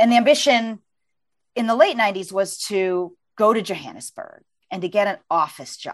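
Using a normal speaking voice, a woman speaks at a moderate pace with a medium pitch. Her intonation is lively and her loudness swings widely. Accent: American. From US, Virginia. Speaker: author and journalist. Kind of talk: interview conversation; reading aloud from her book.

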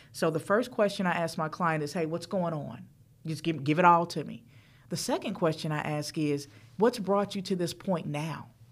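The recording is very clean, with a silent background. Heard here is an unremarkable speaking voice with an American accent, ordinary pitch variation and a moderate pace. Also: woman, fairly low pitch for a woman. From US South, Charlotte, North Carolina. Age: 40s. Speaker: financial coach. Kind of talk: interview.

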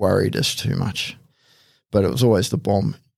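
A man speaks at a moderate pace with vocal fry and ordinary pitch variation on a very clean recording with a silent background. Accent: Australian. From Australia, Hawkesbury region of New South Wales. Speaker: police tactical officer. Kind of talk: casual interview. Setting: studio.

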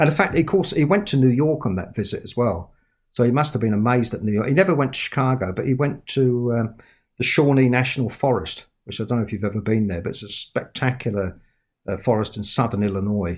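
A man at a medium pitch, with lively intonation and a very fast pace. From London, England. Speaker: author. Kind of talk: casual podcast interview.

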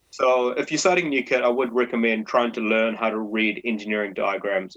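With a New Zealand accent, a man speaks at a fairly quick pace and medium pitch, with ordinary pitch variation. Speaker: brewer, brewery co-founder. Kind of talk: interview.

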